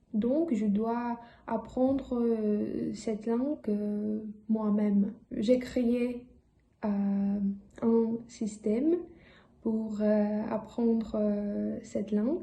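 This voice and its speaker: In a room with audible echo, a woman speaks very slowly with long, frequent pauses, her voice somewhat breathy, her tone dark and mellow, her pitch fairly high and her intonation fairly even. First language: not French (speaking French). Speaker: language learner vlogger. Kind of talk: casual vlog talk. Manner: halting, many hesitations.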